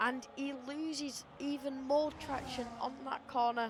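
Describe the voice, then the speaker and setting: A woman's fairly even intonation against noticeable background noise. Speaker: sim racing league commentator. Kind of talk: live commentary. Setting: live stream.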